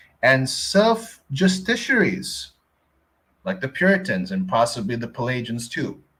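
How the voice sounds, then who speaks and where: A man speaks with a Filipino accent. His pace is fairly slow. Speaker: Bible teacher. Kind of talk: reading aloud with commentary.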